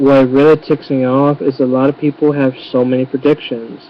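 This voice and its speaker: The pace of this man's speech is fairly slow. Background noise can be clearly heard behind him. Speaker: YouTuber. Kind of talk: webcam rant. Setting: webcam recording.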